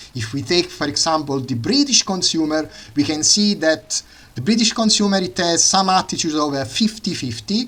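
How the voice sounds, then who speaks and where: A man with an Italian accent, fairly high in pitch, at a moderate pace. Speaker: economics student and channel host. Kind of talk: lecture. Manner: halting, many fillers.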